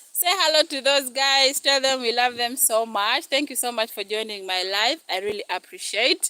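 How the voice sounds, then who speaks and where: A woman talks at a high pitch with lively intonation, at a moderate pace and with hardly any pauses. Noticeable noise runs in the background. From northern Uganda, Gulu. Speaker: cooking YouTuber. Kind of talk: live stream cooking chat.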